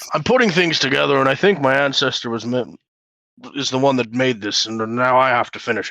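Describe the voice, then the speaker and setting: A man puts on a character voice at a medium pitch. He talks at a fairly quick pace. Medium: actual play. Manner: gruff, halting.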